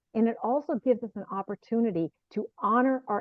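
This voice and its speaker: This woman speaks at a moderate pace, her pitch varying in an ordinary way. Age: 60s. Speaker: author and speaker. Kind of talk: casual interview.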